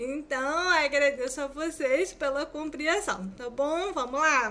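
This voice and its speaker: A woman speaks very slowly in a raised, projected voice, high in pitch and bright and sharp in tone. Her pitch varies in an ordinary way. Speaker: student teacher. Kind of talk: lecture. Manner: sometimes stumbling over words.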